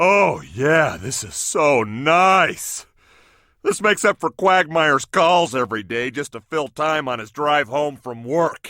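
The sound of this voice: In a cartoonish character voice, a man speaks fairly slowly at a fairly high pitch, with lively intonation and big swings in loudness, in a very clean, dry, close recording with no echo and a silent background.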